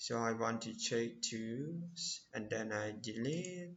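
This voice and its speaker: A man with a non-native accent speaks at a very slow pace, his intonation lively. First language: not English. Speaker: programming tutorial creator. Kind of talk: tutorial. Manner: halting.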